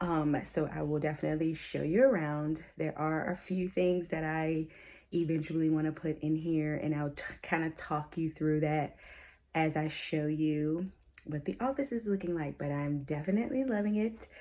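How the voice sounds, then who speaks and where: Quiet and very deep, a woman's low voice has a dark, mellow tone and ordinary pitch variation on a very clean recording with a silent background. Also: moderate pace. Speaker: teacher and vlogger. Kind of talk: casual vlog tour. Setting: home office. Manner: quiet, low voice.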